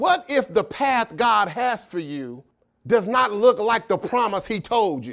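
This man speaks fairly slowly. Lively intonation runs through his delivery. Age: 40s. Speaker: pastor. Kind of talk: sermon.

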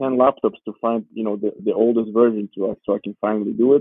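A man with a Georgian accent talks at a very fast pace. His pitch is medium, and his intonation is fairly even. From Georgia, raised in Warsaw, Poland. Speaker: professional footballer. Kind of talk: casual interview.

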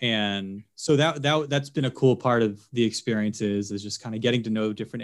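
A man with a plain, everyday voice speaks at a moderate pace, his pitch fairly low. Pitch variation is ordinary, and the recording is very clean with a silent background. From Philadelphia, US Northeast. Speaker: TV sports anchor. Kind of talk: casual interview.

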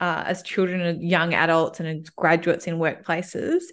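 At a moderate pace, a woman speaks at a fairly low pitch over a quiet background. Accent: Australian. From Melbourne, Australia. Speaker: coach and people and culture expert. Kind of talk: casual interview chat.

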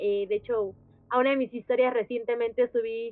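Here a woman talks with fairly even intonation. Her pitch is fairly high. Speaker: podcast host. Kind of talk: casual chat.

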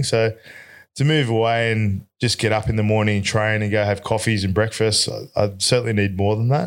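A man with an Australian accent speaks fairly quickly at a fairly low pitch, his loudness very even. The recording is very clean, with a silent background. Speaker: electrician business owner. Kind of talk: casual chat.

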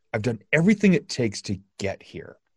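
The recording is very clean, with a silent background and a dry, close sound with no echo. A man speaks at a moderate pace in a somewhat breathy voice. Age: 50s. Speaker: podcast host, motivational speaker. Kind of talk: casual interview chat.

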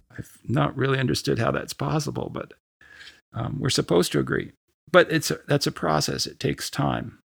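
At a fairly quick pace, a man with medium pitch and vocal fry speaks with very wide pitch swings. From Canada. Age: 60s. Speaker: church speaker and mission volunteer. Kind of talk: interview conversation. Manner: halting, with frequent fillers and repeats.

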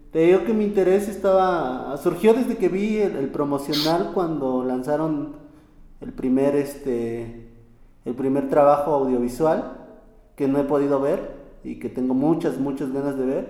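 Fairly high male voice with lively intonation, a fairly slow pace and audible room echo. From Mexico, State of Mexico, Temoaya region. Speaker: podcast host. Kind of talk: interview; scripted narration.

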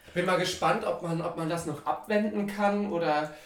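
Noticeable background noise and audible room echo surround a man who speaks at a moderate pace in a high pitch with ordinary pitch variation. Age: 30s. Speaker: podcast co-host. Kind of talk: casual chat. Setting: sitting in a bathtub with microphone.

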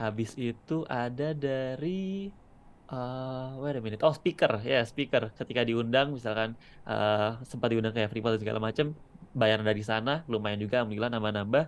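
A man at medium pitch with ordinary pitch variation, a plain, everyday voice. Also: moderate pace. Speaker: content creator and videographer. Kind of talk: casual interview chat.

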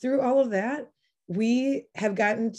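The voice has a dark, mellow tone and lively intonation, with an American accent. It moves at a moderate pace. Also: woman. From US Midwest, La Crosse, Wisconsin. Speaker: attorney and nonprofit executive director. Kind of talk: interview storytelling.

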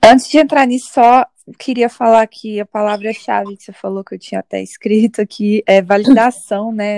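In a dry, close sound with no echo, a woman with a dark, mellow tone speaks at a moderate pace and with fairly even intonation. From Minas Gerais, Brazil. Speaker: podcast co-host. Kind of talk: casual chat.

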